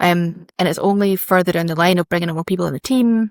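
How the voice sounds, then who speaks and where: Delivered at a very fast pace with a Scottish accent, the speech has ordinary pitch variation and a dry, close sound with no echo. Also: woman. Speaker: fashion brand founder. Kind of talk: casual interview chat.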